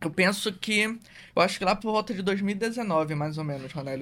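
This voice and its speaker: A man's pitch varies in an ordinary way as he talks at a fairly quick pace. Nothing is heard behind him in the very clean recording. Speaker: sports psychologist. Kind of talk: podcast conversation. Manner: casual, informal.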